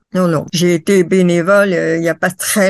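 A woman talks with a fairly low pitch. Her intonation is fairly even, and the background is quiet. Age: 70s. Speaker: international roller racing judge. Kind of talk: interview. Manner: hesitant with frequent fillers.

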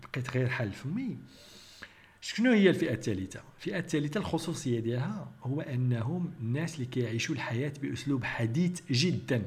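A man speaks in a Moroccan accent at a fairly high pitch and moderate pace. His intonation is lively, and there is audible room echo. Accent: Moroccan Arabic (Darija). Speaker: biochemist and YouTube commentator. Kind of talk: critical commentary monologue.

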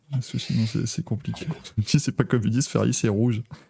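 Vocal fry runs through a dark, mellow tone delivered at a fairly quick pace with ordinary pitch variation. The sound is dry and close, with no echo. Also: man. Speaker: motorsport podcast host. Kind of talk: casual chat. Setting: video call. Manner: animated.

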